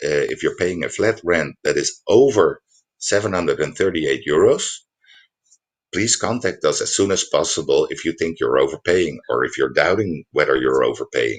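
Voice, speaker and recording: With a non-native accent, a man talks at a moderate pace. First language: Dutch. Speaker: housing advice presenter. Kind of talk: online workshop presentation. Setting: livestream. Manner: halting, many fillers.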